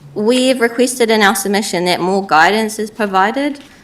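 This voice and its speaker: Speaking at a fairly quick pace, a woman with a New Zealand accent uses lively intonation. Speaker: council staff presenter. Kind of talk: briefing presentation.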